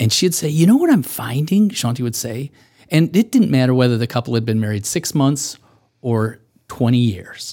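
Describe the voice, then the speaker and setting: A man with a Midwestern American accent, medium pitch, dark, mellow tone, lively intonation and moderate pace. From US Midwest, Michigan. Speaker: co-author and researcher. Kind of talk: casual interview.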